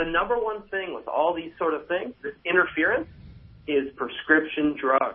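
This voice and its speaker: With an American accent, a man speaks in a high pitch at a moderate pace, his pitch varying in an ordinary way. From US. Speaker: chiropractor. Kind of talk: radio interview. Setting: remote line from Chicago. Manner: animated.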